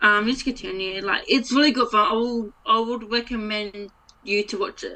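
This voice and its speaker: A woman's fairly high pitch, a plain, everyday voice, ordinary pitch variation and a moderate pace. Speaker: podcast co-host. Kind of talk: casual chat.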